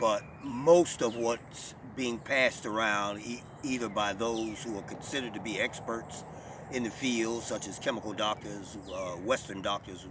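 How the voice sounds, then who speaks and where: Noticeable background noise sits behind a man speaking at a medium pitch. His pace is fairly slow and his intonation fairly even. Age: 60s. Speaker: natural healer and talk show host. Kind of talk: monologue talk show. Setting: online video talk show.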